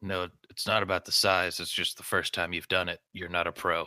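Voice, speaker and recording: A man's put-on character voice, raspy and very deep and low, at a moderate pace with monotone, flat intonation. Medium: actual play.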